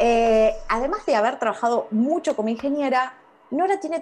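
Amid noticeable background noise, a woman with a high voice speaks at a moderate pace, her pitch swinging very widely. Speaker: radio host. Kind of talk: radio interview.

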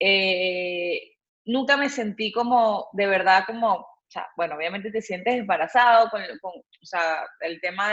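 This woman's voice sits at a medium pitch with ordinary pitch variation. She speaks at a fairly slow pace. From Venezuela. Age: 30s. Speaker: photographer, cancer survivor. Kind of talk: personal testimony in interview.

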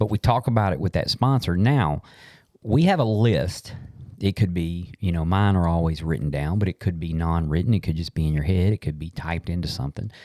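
Very deep and low, this man's voice has a dark, mellow tone and ordinary pitch variation at a fairly quick pace. The sound is dry and close with no echo, on a very clean recording with a silent background. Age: 50s. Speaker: podcast host. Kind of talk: casual chat. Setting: studio.

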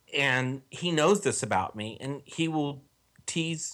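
Very slow speech from a man with an American accent, on a very clean recording with a silent background. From Texas. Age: 40s. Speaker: online forum commenter. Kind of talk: casual interview.

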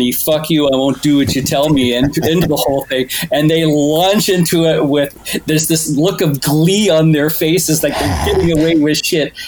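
Over noticeable background noise, a man speaks at a moderate pace and fairly high pitch with ordinary pitch variation and very even loudness. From Canada, Toronto. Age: 40s. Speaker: podcast guest, music enthusiast. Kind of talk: casual chat.

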